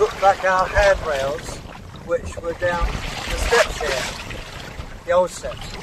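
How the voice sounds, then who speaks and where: A man talks fairly slowly, with noticeable background noise present. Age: 80s+. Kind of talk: documentary monologue to camera. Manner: halting.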